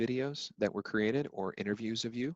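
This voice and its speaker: Here is a man with a normal speaking voice and a medium pitch. He speaks at a moderate pace with ordinary pitch variation. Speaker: legal recruiter presenting a webinar. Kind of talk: webinar presentation with Q&A.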